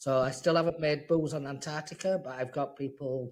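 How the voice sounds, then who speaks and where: A somewhat breathy man's voice at a fairly high pitch with fairly even intonation. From northern England, Leeds, Yorkshire. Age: 50s. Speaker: whisky distiller. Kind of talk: casual chat.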